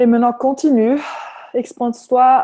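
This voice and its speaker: A woman with a Flemish accent, dark, mellow tone and fairly slow pace. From Flanders, Belgium. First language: Dutch (Flemish) (speaking French). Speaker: personal development facilitator. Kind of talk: guided meditation. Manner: hesitant, with fillers.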